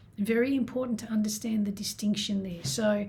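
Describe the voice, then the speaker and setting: Somewhat breathy and dark, mellow in tone, a woman's fairly high voice keeps fairly even intonation. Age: 60s. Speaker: self-love and healing coach. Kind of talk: self-help talk to camera.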